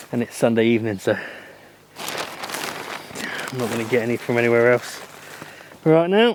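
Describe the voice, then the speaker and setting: Talking at a fairly slow pace with long, frequent pauses, a man with an English Midlands accent keeps a medium pitch and ordinary pitch variation. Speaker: allotment gardening vlogger. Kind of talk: casual vlog talk to camera. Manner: casual, hesitant with fillers.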